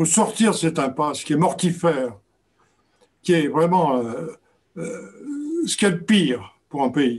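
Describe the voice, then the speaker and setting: A man with a high-pitched voice talks at a fairly slow pace. He leaves long, frequent pauses. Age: 80s+. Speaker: author and documentary filmmaker. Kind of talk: book talk Q&A. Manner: halting, many repetitions.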